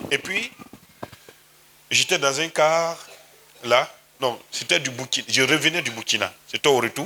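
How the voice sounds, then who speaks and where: The speaker is a man with an Ivorian accent. He talks at a fairly slow pace. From Côte d'Ivoire. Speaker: pastor. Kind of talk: sermon.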